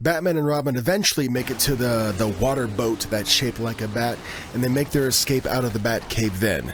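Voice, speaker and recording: With music in the background, a man speaks in an animated tone at a medium pitch and moderate pace, with ordinary pitch variation. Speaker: YouTube TV recap creator. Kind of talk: casual commentary recap. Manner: animated, casual.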